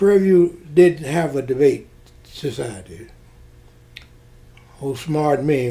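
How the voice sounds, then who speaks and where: The man speaks in a Southern US accent with a dark, mellow, somewhat breathy tone. His pace is fairly slow and his intonation lively. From Mississippi. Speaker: retired Air Force officer. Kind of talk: oral history interview answer.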